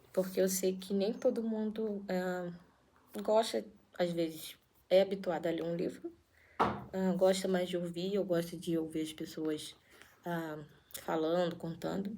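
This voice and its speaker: Soft-spoken and fairly slow, a woman talks at a medium pitch with fairly even intonation and long, frequent pauses. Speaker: YouTuber reading a spiritual book aloud. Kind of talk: casual intro before reading aloud. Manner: halting.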